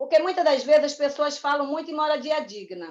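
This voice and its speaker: A woman speaking at a high pitch. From Rio de Janeiro (Rocinha favela), born in Paraíba. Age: 50s. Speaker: community activist and museum co-founder. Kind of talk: interview testimony.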